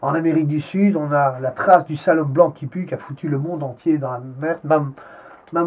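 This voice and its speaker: Speaking at a fairly quick pace, a man with a fairly high pitch keeps his intonation fairly even in a somewhat breathy voice. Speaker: interviewee. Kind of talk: interview. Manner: halting.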